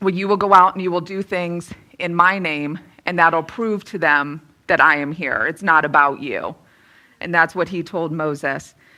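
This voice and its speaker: Bright and sharp in tone, a woman talks at a fairly low pitch with fairly even intonation. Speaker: motivational speaker. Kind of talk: inspirational talk. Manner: fast.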